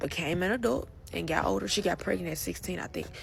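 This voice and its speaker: A woman's voice with music in the background. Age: 20s. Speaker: survivor sharing personal story. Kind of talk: personal testimony. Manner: halting, self-correcting.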